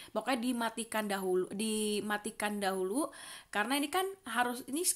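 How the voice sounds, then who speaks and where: A woman talks at a moderate pace in a fairly high pitch with ordinary pitch variation, a normal speaking voice. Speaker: vlogger. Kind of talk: casual vlog talk; screen tutorial.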